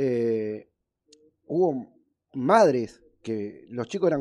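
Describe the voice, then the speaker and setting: Lively intonation runs through this man's dark, mellow tone. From Argentina, Buenos Aires area. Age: 40s. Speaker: radio sports show host. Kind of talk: live radio interview.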